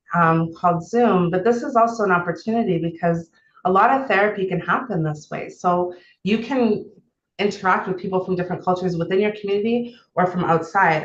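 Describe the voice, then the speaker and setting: A woman's fairly quick, medium-pitched speech with ordinary pitch variation and a strong Canadian accent. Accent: thick Canadian. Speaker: therapist. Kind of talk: online seminar talk. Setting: video call.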